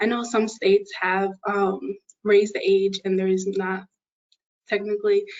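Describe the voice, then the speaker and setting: Here a woman of medium pitch speaks with an American accent. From western New York, Buffalo. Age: 20s. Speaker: engineering student and youth advocate. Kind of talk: panel self-introduction.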